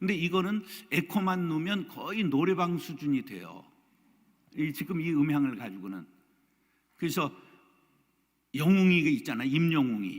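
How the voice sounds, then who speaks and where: This man speaks at a moderate pace, his pitch fairly high and swinging very widely. Long pauses come often. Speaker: pastor. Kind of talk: lecture.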